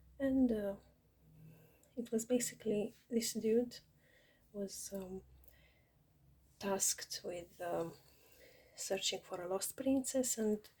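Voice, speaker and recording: A woman speaks very slowly, with long, frequent pauses, in a fairly high pitch with ordinary pitch variation. Her tone is dark and mellow and somewhat breathy. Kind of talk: casual talk to camera.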